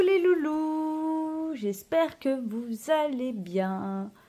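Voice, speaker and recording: A woman speaks very slowly in a high pitch, her voice swinging very widely up and down with a dark, mellow tone. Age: 30s. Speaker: budgeting vlogger. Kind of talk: casual vlog tutorial. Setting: at home apartment. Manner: hesitant, many fillers.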